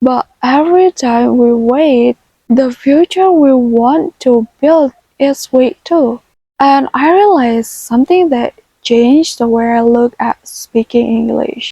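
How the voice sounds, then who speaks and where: With a non-native accent, a woman speaks in a high voice and a gentle tone. Her pace is very slow, with ordinary pitch variation. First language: not English. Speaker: self-taught English learner. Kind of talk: casual talk to camera. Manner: gentle, soft-spoken.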